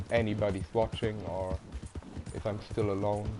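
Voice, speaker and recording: There is noticeable background noise as a man with a fairly low pitch talks at a fairly slow pace. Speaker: gamer streamer. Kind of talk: casual gameplay commentary. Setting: home live stream. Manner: halting. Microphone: poor quality microphone.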